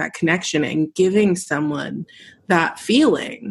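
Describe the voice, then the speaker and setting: A woman speaks at a fairly slow pace in a normal speaking voice, her medium pitch moving with ordinary variation. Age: 30s. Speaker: podcast host and musician. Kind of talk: casual chat.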